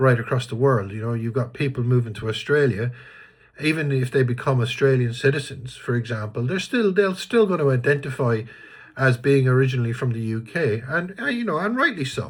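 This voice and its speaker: A somewhat breathy man with an Irish accent speaks at a fairly quick pace, with medium pitch and ordinary pitch variation. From Ireland. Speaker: vlogger. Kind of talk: casual monologue. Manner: hesitant, many fillers and restarts.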